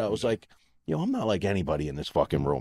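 Speaking very fast with an American accent, a man swings his pitch very widely and shows vocal fry. The sound is dry and close, with no echo. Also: very clean recording, silent background. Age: 40s. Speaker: podcast co-host. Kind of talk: casual chat.

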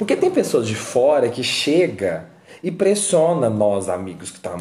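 Male speech at a moderate speed, with noticeable background noise and audible echo from the room. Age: 20s. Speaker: podcast host. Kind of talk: casual monologue. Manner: animated.

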